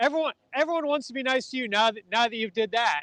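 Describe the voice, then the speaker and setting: A man's extremely high, bright, sharp voice, raised and projected, in a dry, close sound with no echo. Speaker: livestream host. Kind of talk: casual live commentary. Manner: fast.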